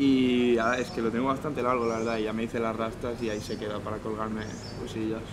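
Very fast and flatly monotone, the speech comes over noticeable background noise. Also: man. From Catalonia, Terrassa. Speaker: rapper. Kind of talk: casual chat. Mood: relaxed, explanatory.

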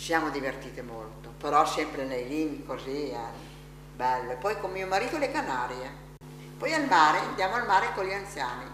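With long, frequent pauses at a moderate pace, a woman speaks in a very deep, low pitch, amid audible room echo and light background noise. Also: lively intonation, big swings in loudness. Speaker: elderly rehabilitation patient. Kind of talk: interview. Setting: hospital rehabilitation gym. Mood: warm, lively reminiscing. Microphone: camera far.

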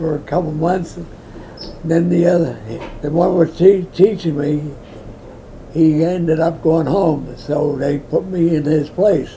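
Over light background noise, a man talks at a very slow pace in a monotone, flat delivery. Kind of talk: interview answer.

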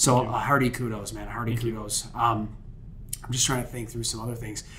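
Light background noise accompanies a speaker with an American accent. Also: man. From Niagara Falls, New York; New York. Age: 30s. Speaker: podcast host, marketing strategist; podcast host. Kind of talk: casual interview chat. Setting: studio. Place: studio. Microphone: studio mic.

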